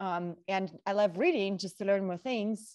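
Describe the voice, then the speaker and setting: Against a quiet background, a woman with a Russian accent speaks at a medium pitch. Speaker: model and talk show co-host. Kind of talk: casual panel chat.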